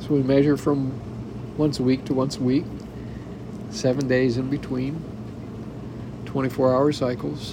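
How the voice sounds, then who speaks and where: A man's flat, monotone delivery at a fairly slow pace, with very even loudness, long, frequent pauses and noticeable background noise. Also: medium pitch for a man. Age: 70s. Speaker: podcaster and spousal caregiver. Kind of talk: personal monologue. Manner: halting.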